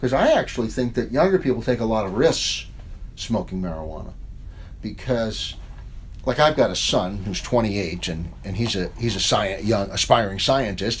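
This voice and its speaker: Audible room echo surrounds a voice with a slight New York accent. The delivery has lively intonation and a moderate pace. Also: man, medium pitch for a man. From New York, Long Island. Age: 60s. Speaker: professor and author. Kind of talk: interview. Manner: casual, conversational.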